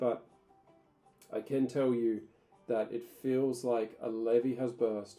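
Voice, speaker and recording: With music in the background, a man with an Australian accent talks at a medium pitch with fairly even intonation. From Tasmania, Australia. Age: 30s. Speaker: ESL teacher. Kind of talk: casual talk to camera.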